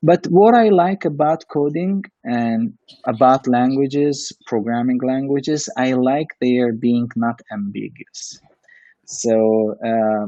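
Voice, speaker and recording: Speaking at a fairly slow pace, a man with a non-native accent uses a medium pitch and ordinary pitch variation. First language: not English. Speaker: coding instructor and test automation engineer. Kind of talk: casual Q&A chat. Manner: halting, with many fillers.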